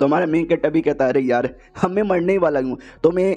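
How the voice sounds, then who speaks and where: An ordinary speaking voice belongs to a man with a fairly high pitch and fairly even intonation. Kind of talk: casual recap narration.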